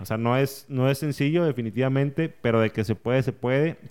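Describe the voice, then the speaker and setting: A man speaks at a medium pitch with ordinary pitch variation. He has an ordinary speaking voice. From northern Mexico, Saltillo. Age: 30s. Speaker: entrepreneur and podcaster. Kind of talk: casual interview. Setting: podcast studio.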